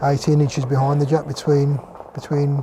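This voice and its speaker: Fairly high-pitched male voice in a relaxed tone, with noticeable background noise. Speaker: bowls commentator. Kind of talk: live sports commentary. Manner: relaxed, conversational with some hesitations.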